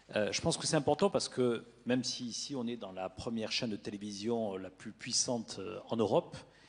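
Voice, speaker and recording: Here a man's voice sits at a medium pitch with ordinary variation. He talks at a fairly quick pace. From southern France, Toulouse. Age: 40s. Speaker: media executive. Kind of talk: panel discussion. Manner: halting, many hesitations.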